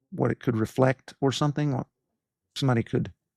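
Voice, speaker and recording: A man talks with vocal fry. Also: dry, close sound with no echo. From East Tennessee, Appalachia. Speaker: pediatric cardiologist and podcast host. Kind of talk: interview answer.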